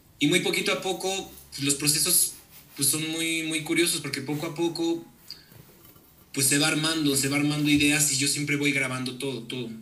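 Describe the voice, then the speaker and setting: A man with a Mexican accent talks at a moderate pace in a fairly high pitch with fairly even intonation. Noticeable background noise and audible room echo fill the recording. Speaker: musician. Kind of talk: casual chat.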